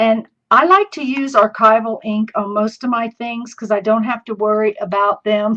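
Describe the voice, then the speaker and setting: Her pitch fairly high, a woman talks at a moderate pace. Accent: American. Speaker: crafting video host. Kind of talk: live craft tutorial. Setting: live stream. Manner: chatty.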